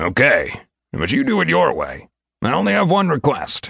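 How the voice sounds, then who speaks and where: A man talks at a moderate pace in a raspy, put-on character voice. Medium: read story. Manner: gruff, blunt.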